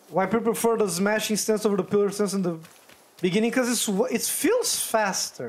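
An animated tone comes through at a moderate pace over noticeable background noise. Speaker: gaming YouTuber. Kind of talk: gameplay commentary, casual. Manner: animated, chatty, reacts out loud.

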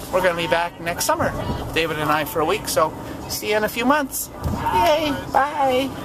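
Moderate-paced speech over loud background noise. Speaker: vlogger. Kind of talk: casual vlog chat. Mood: cheerful, relieved. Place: car. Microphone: phone near.

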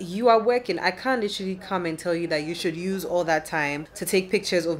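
A woman with an unremarkable speaking voice talks fairly quickly at a fairly low pitch with ordinary pitch variation, over light background noise. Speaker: vlogger. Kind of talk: casual vlog chat. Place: home room. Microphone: phone near.

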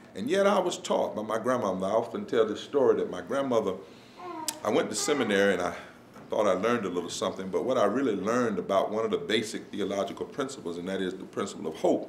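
Very fast speech with audible room echo and light background noise. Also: man. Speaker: visiting preacher. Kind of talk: sermon. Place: hall.

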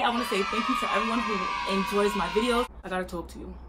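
Over loud background noise, a woman talks at a fairly quick pace in a fairly high pitch, her tone animated and her pitch variation ordinary. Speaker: YouTuber. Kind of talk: casual vlog monologue. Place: home room.

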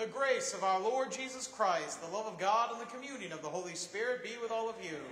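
Talking very fast with ordinary pitch variation, a man is heard with audible room echo and light background noise. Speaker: priest leading mass. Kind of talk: liturgical prayer. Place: church. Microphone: camera far.

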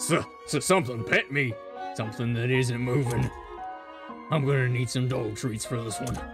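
In a put-on character voice, the speaker moves at a moderate pace over clear music in the background. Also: man, medium pitch for a man. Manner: paranoid, then excited.

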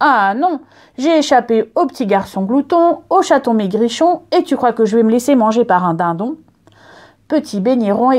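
A woman speaks at a fairly slow pace in a high voice with very wide swings in pitch. Her tone is dark and mellow against a quiet background. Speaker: librarian storyteller. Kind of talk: storytelling, reading a picture book aloud to children. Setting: filmed reading, video. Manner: repetitive rhythm, speeding up on 'vite, vite, vite'.

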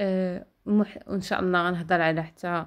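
Her pitch is fairly low for a woman, and she speaks at a moderate pace. The intonation stays fairly even in a very clean recording with a silent background. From Morocco, El Jadida. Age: 20s. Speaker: vlogger, vocational trainee. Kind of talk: vlog monologue. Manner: halting, frequent 'ah' fillers.

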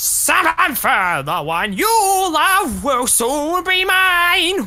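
In a put-on character voice, the speaker goes at a very slow pace with an extremely high pitch. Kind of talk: comic overacting. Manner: pompous, blustering.

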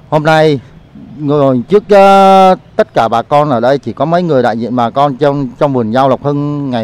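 Dry and free of echo, the recording has a man speaking at a fairly slow pace with lively intonation. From Saigon, Vietnam. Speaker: farmer. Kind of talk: testimony. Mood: grieved, indignant. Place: garden. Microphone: handheld.

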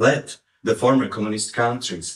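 There is audible room echo around a man's somewhat breathy voice, though the background is quiet. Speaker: conference speaker. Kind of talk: lecture. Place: hall.

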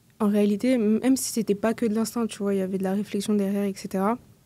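In a dry recording with no echo, a woman with a medium pitch speaks in a dark, mellow tone and fairly even intonation. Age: 20s. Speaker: community manager and LinkedIn coach; podcast guest. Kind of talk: casual interview. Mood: relaxed, conversational. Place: studio. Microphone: studio mic.

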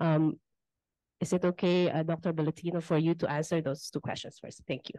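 With a Filipino accent, a woman speaks in a fairly low, dark, mellow voice with monotone, flat intonation, the sound dry with no echo against a quiet background. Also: fairly quick pace. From Philippines. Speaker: academic webinar moderator. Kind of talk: moderating a webinar. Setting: conference room, hybrid webinar. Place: meeting room. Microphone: handheld.

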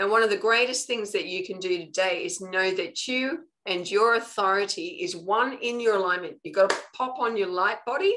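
A woman with an Australian accent speaks at a fairly high pitch, her intonation lively and her delivery with hardly any pauses. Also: moderate pace. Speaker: spiritual coach. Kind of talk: live online training talk. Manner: casual, conversational.

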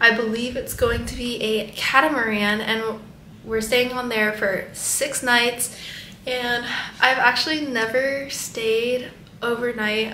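There is audible room echo and light background noise. Over it a woman speaks at a high pitch. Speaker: travel vlogger. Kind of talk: casual vlog chat. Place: home room. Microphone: phone near.

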